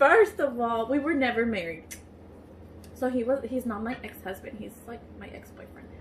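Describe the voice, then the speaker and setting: The woman's voice sits at a high pitch. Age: 20s. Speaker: YouTuber. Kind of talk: casual chat.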